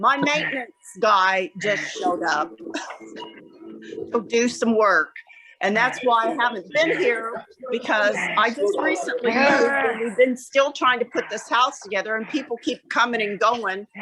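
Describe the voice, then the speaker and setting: With noticeable background noise behind her, a woman speaks in a fairly high voice with lively intonation. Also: moderate pace. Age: 60s. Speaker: class participant. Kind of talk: casual chat.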